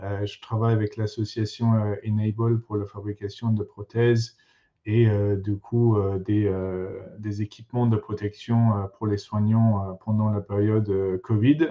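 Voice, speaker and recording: With an English accent, a man speaks at a fairly slow pace and a fairly low pitch, his intonation monotone and flat. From England. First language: English (speaking French). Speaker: materials engineer. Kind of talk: conference talk. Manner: halting, many fillers.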